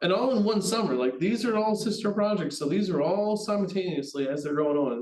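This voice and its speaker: The speaker is a man. He talks at a fairly quick pace with ordinary pitch variation. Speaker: HVAC test and balance project manager. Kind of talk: webinar presentation. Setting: online webinar. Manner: fast.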